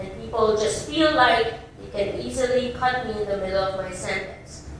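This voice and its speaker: With a Filipino accent and a fairly high pitch, a woman speaks with ordinary pitch variation amid noticeable background noise and audible room echo. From Philippines. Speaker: scientist. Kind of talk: public speech.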